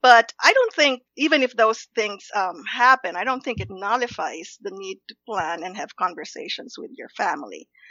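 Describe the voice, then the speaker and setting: With hardly any pauses, a woman speaks at a moderate pace in a fairly high pitch, her intonation lively, her loudness swinging widely, and vocal fry present. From Philippines, Los Banos. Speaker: investment strategist and researcher. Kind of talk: interview.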